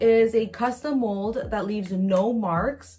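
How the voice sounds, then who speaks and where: A somewhat breathy voice at a very slow pace, with fairly even intonation. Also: woman. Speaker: beauty vlogger. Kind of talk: casual product review vlog. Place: home room. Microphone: phone near.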